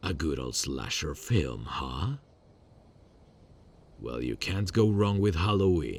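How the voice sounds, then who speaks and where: Putting on a character voice, a man speaks very deep and low at a fairly slow pace, with very wide pitch swings and long, frequent pauses. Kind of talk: ASMR roleplay. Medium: solo performance. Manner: calm, controlled, quietly menacing.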